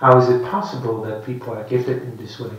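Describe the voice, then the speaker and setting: With a Dutch accent, a man speaks at a medium pitch in monotone, flat intonation, amid noticeable background noise and audible room echo. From Netherlands. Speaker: Buddhist monk teacher. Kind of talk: dharma talk. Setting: meditation centre with audience. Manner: halting.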